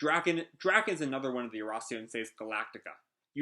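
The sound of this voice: Quiet background behind an unforced reading voice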